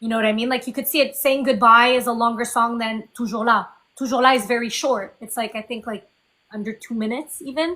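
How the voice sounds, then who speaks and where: Speaking very fast in a French Canadian accent, a woman keeps a fairly high pitch and fairly even intonation. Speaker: indie singer-songwriter. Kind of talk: interview.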